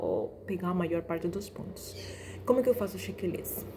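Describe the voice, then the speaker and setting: Noticeable background noise surrounds a woman who is soft-spoken. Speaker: doctor teaching exam preparation. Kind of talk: tutorial. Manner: casual, with fillers and restarts.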